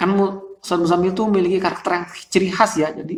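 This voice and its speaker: A man talks very fast at a high, shrill pitch. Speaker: Quran recitation vocal coach. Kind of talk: tutorial. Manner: casual.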